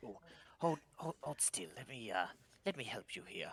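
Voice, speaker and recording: Using a put-on character voice at a medium pitch, a man speaks at a moderate pace, the sound dry and close with no echo. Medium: actual play. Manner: hesitant, stammering.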